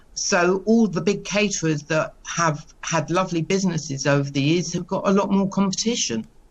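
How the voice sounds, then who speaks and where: In an unremarkable speaking voice, a woman talks at a moderate pace and a fairly low pitch, with ordinary pitch variation and very even loudness. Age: 60s. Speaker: caterer, small business owner. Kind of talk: news interview.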